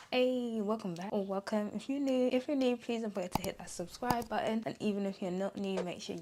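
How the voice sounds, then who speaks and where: Noticeable background noise accompanies a woman's voice. Her pitch is fairly high, with ordinary variation. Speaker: beauty and lifestyle vlogger. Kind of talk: casual vlog intro. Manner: animated.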